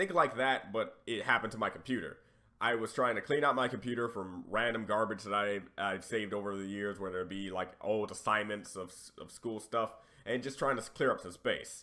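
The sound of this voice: With a bright, sharp tone and a raspy quality, a man talks at a moderate pace and fairly low pitch, using ordinary pitch variation and few pauses.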